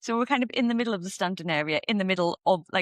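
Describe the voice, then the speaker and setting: A woman speaks with a Northeast England accent at a medium pitch. The sound is dry and close with no echo, over a quiet background. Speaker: podcast co-host. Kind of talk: casual chat.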